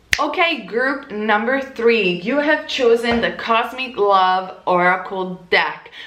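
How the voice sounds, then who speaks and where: Lively and fairly high in pitch, a woman speaks in an Italian accent. Audible room echo and noticeable background noise fill the recording. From Italy. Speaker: tarot reader. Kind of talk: tarot reading monologue.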